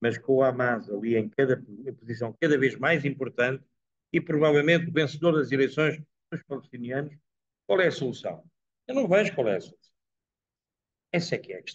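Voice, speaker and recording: This man's voice sits fairly high, somewhat breathy, with ordinary pitch variation and big swings in loudness. He moves at a fairly quick pace yet leaves long, frequent pauses. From Portugal. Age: 80s. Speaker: professor giving a talk. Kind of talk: talk and Q&A at a dinner. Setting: dinner event with live audience.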